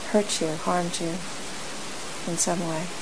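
A woman speaks in a gentle, calm tone. Noticeable background noise is present. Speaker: meditation teacher. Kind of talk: guided meditation. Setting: group retreat hall, in-person sitting. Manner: slow, calm, soft-spoken; gentle, unhurried, with long pauses.

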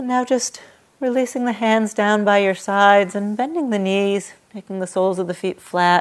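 In a plain, everyday voice, a woman talks with ordinary pitch variation. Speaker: meditation and yoga teacher. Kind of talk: guided meditation. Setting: meditation hall with a group in person. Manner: slow, soft, calm and soothing with long pauses.

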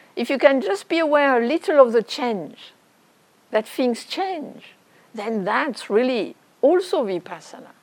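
A woman with a French accent, high-pitched, with very wide pitch swings at a fairly slow pace over noticeable background noise. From France. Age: 60s. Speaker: meditation teacher. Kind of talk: dharma talk.

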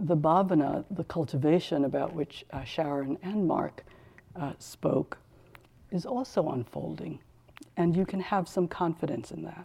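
Vocal fry colors a woman's fairly low pitch and dark, mellow tone. She speaks at a fairly slow pace with ordinary pitch variation. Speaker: meditation teacher. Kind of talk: dharma talk. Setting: retreat hall with audience, microphone. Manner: halting, many fillers.

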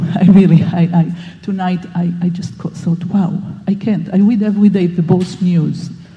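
A moderate pace amid noticeable background noise. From Israel. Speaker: meditation participant. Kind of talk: personal sharing.

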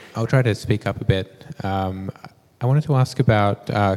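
Pausing little from a fairly slow pace, a man speaks at a fairly low pitch with ordinary pitch variation. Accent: Australian. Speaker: audience member. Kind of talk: question from audience. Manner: halting.

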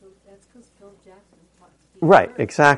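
A somewhat breathy male voice. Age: old. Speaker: meditation teacher. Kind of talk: dharma talk. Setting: meditation hall with audience. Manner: casual and joking.

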